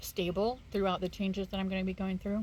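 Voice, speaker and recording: A somewhat breathy woman's voice at medium pitch. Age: 40s. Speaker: vlogger with early onset Alzheimer's. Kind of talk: casual vlog. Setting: bedroom, home video. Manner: halting, many fillers.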